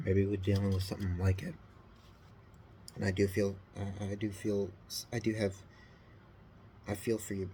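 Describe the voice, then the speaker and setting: With long, frequent pauses, a man speaks at a moderate pace and fairly low pitch, his dark, mellow, somewhat breathy voice held to a monotone, flat intonation. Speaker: scale model builder. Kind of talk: casual hobby video talk. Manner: halting.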